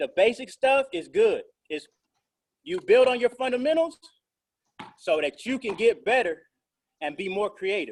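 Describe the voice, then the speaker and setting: Speaking loudly in an extremely high pitch, a man delivers an energetic tone with very wide pitch swings at a moderate pace, broken by long, frequent pauses. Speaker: basketball coach. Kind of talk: online workout instruction. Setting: video call.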